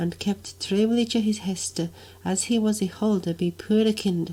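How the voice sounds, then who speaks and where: Somewhat breathy, this voice speaks at a very slow pace. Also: woman. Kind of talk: Middle English reading of a medieval dialogue.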